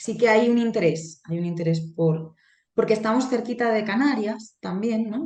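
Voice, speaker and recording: A woman talks at a moderate pace in a normal speaking voice. Her intonation is lively. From Spain, Alcoy (Alicante), Valencian-speaking area. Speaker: Spanish language lecturer. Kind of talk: interview.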